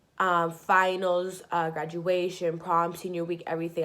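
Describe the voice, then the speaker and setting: A woman speaks in a fairly low pitch. Her voice carries audible room echo. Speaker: vlogger. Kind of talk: personal story. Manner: casual, filler-heavy.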